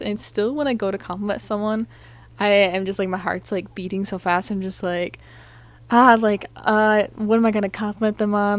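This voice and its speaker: A woman talks at a fairly quick pace and a medium pitch. The recording is very clean, with a silent background. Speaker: podcast host. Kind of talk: solo podcast monologue. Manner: fast; animated.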